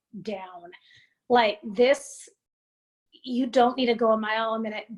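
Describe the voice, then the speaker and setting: Loud and high-pitched, a woman speaks at a fairly slow pace. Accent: American. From Montana, US. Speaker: creative entrepreneur, mental health advocate. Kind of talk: casual interview chat.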